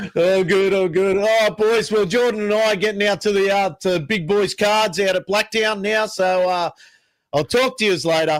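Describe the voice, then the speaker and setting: A man speaks at a moderate pace with a high pitch. His intonation is fairly even and his loudness very even. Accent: Australian. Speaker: podcast co-host. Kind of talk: casual chat.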